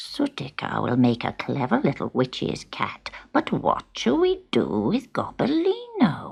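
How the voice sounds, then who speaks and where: A put-on character voice talks at a fairly slow pace. There are hardly any pauses in the delivery. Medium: read story.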